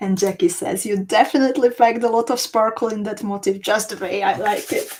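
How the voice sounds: A woman's medium-pitched, slightly mellow voice at a fairly quick pace, intonation fairly even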